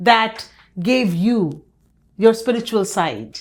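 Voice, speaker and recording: A woman speaks in a normal speaking voice with a fairly high pitch. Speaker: podcast host. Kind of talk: podcast interview host talk.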